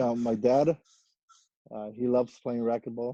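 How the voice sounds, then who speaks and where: The speaker has a Mexican accent and a dark, mellow tone. The sound is dry and close, with no echo. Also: man. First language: Spanish. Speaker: professional racquetball player. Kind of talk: podcast interview. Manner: halting, many fillers and repetitions.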